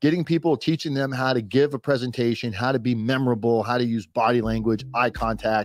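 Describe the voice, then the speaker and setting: A man speaks in a plain, everyday voice at a medium pitch and fairly quick pace. His intonation is fairly even, his loudness very even, with hardly any pauses. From Florida. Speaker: podcast host, business coach. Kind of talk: casual chat. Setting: live stream.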